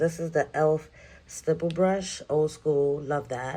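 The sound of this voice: A woman with a New York accent, low pitch and a slightly mellow tone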